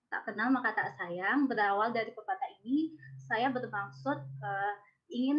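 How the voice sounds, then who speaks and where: With an ordinary speaking voice, a woman talks at a moderate pace, her fairly high pitch carried by lively intonation. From West Sumatra, Indonesia. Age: 20s. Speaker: social forestry innovator presenting an idea. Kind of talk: presentation.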